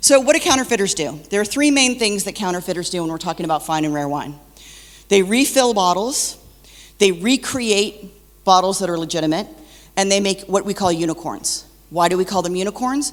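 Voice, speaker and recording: A woman speaks at a fairly quick pace in a medium pitch, with lively intonation. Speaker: wine counterfeit expert speaker. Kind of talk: conference presentation. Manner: loud.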